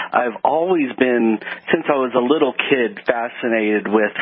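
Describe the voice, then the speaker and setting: A medium-pitched man's voice with an American accent amid noticeable background noise. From Texas, Houston. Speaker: chemist. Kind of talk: radio interview.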